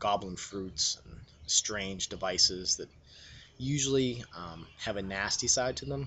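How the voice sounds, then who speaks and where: This man has a very deep, low pitch. His pitch variation is ordinary. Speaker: tabletop role-playing game enthusiast. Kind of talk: casual rambling talk about a role-playing game. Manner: hesitant, many filler words.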